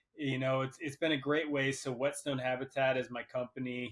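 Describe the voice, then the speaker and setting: In an American accent, a man with a plain, everyday voice speaks at medium pitch and a moderate pace. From central Pennsylvania. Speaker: wildlife biologist. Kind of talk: casual podcast interview.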